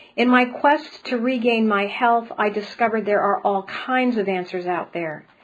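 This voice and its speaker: A woman's plain, everyday voice at a fairly high pitch, with ordinary pitch variation and a moderate pace. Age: 60s. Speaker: spiritual healer and speaker. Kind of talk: webinar presentation.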